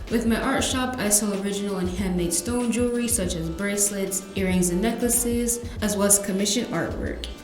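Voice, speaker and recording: Music behind a woman with an American accent, her fairly quick delivery nearly free of pauses and her intonation fairly even. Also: medium pitch for a woman. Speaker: podcast host. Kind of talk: podcast trailer narration. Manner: soft-spoken.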